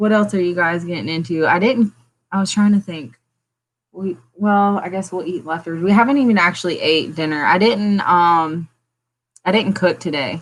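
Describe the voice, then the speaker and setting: A woman talks at a moderate pace in a Southern US accent. Her pitch is fairly low, with ordinary variation. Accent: picked up a country Southern twang. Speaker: plant channel host. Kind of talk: casual livestream chat. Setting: home livestream.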